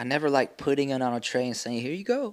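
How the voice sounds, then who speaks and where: The speaker has a Texan accent. The recording is very clean, with a silent background. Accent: Texan American. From Texas Panhandle (Amarillo). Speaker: musician. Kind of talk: casual interview.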